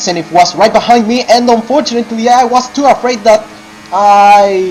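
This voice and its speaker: Music plays in the background as the voice moves at a fairly slow pace. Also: man. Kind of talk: sim racing commentary. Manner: casual.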